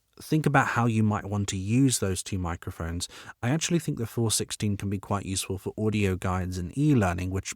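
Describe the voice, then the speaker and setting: With a British accent, a man of fairly low pitch speaks at a fairly quick pace with lively intonation. The sound is dry and close with no echo, in a very clean recording with a silent background. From Britain. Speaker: voiceover artist. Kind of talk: tutorial.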